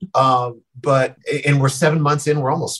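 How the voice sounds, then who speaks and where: The man's voice is somewhat breathy and goes at a moderate pace. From Colorado, Denver. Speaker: sports broadcaster. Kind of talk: casual interview.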